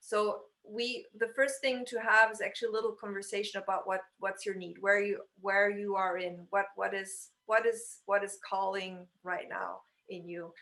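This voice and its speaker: A woman speaks in a bright, sharp tone at a medium pitch. Her intonation is fairly even. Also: moderate pace. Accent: French. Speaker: stylist. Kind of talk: casual chat. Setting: video call.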